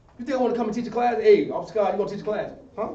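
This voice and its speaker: There is audible room echo and noticeable background noise as a man speaks in a high-pitched voice. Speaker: religious class teacher. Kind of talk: sermon-style class discussion. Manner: animated.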